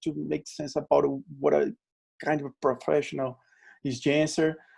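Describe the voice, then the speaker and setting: A man speaks with a strong Brazilian accent. His tone is dark and mellow. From Brazil, Natal, Rio Grande do Norte. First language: Portuguese. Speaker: LinkedIn trainer. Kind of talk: webinar presentation.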